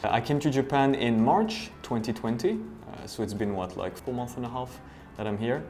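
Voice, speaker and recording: A man of medium pitch speaks in a French accent at a moderate pace with ordinary pitch variation, music playing in the background. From France. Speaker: voice actor. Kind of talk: interview answer. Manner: casual, hesitant.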